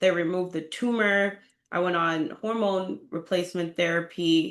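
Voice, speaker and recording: A woman with an American accent speaks at a moderate pace in an unremarkable speaking voice, her pitch fairly low. Her intonation stays fairly even against a quiet background. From Boston, Massachusetts, US. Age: 30s. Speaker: real estate agent sharing a health story. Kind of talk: interview testimony.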